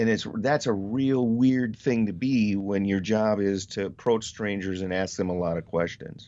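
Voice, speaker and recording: In an ordinary speaking voice, a man talks at a moderate pace with hardly any pauses, using a fairly low pitch and ordinary pitch variation. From Wisconsin, US Midwest. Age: 50s. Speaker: newspaper reporter. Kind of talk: casual interview conversation.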